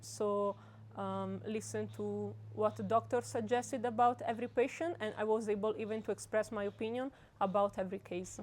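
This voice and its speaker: A woman with an Italian accent at a moderate pace, against a quiet background. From Italy. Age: 20s. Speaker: medical student. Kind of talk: interview answer. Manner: hesitant, many fillers.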